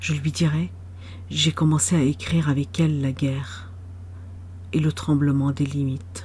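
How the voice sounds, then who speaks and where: A woman speaks with vocal fry in a very deep, low voice, her pitch swinging very widely. She talks at a fairly slow pace, her loudness very even, with long, frequent pauses. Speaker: poet. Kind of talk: poetry reading.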